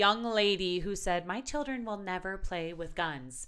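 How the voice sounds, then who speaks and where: With a Wisconsin accent, a woman speaks at a moderate pace, her tone bright and sharp and her intonation lively. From Milwaukee, Wisconsin. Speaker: country radio host and blogger. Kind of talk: casual interview.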